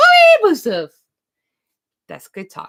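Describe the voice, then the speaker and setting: Sing-song and female-sounding, this put-on character voice sits at an extremely high pitch. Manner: high-pitched, sing-song pet voice.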